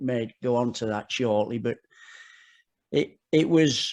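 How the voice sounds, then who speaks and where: A man with an English accent talks at a medium pitch. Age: 60s. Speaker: football coach. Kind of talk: podcast interview. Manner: halting, with frequent repetitions.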